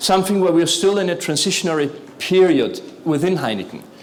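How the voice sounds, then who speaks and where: A man talks in a high voice, with noticeable background noise and audible room echo around him. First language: not English. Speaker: corporate sustainability executive. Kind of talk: conference talk.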